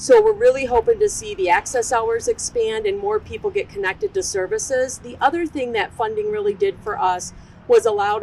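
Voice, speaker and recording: A loud woman's voice at a fairly quick pace, with very wide pitch swings and noticeable background noise. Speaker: behavioral health program manager. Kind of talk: ceremony speech.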